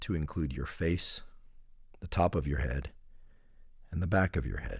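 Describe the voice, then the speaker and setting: The man's voice is very deep and low. It has vocal fry. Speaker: neuroscientist guiding a relaxation protocol. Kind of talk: guided relaxation meditation. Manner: slow, calm, soothing, with long pauses.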